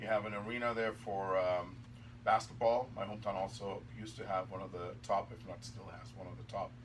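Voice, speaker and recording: Over noticeable background noise, a man talks at a fairly quick pace in a medium pitch with monotone, flat intonation. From Germany. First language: German. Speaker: hockey referee. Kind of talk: casual interview chat.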